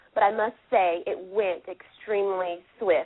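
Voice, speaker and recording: A woman's medium-pitched voice with a Southern US accent. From US South, Anderson, South Carolina. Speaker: podcast guest, fan who attended casting call. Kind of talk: casual chat.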